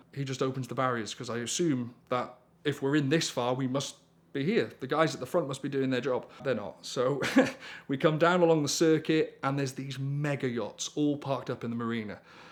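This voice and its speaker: With a North Welsh accent, a man talks at a fairly quick pace in a fairly high pitch with fairly even intonation, on a very clean recording with a silent background. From North Wales. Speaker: storyteller, rally driver. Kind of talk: storytelling anecdote.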